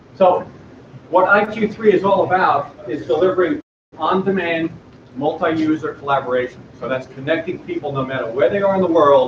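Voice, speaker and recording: This man speaks loudly at a fairly quick pace. His pitch is high, with ordinary variation. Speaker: startup presenter. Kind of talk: pitch presentation.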